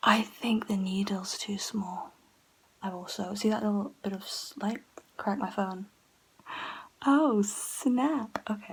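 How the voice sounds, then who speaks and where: The speaker whispers very slowly, leaving long pauses again and again. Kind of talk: casual talk to camera. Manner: whispered.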